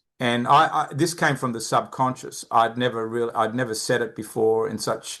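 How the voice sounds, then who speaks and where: Speaking with an Australian accent, a man uses a bright, sharp tone, fairly even intonation and a fairly quick pace. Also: quiet background. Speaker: behavioral finance expert, company founder. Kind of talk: podcast interview.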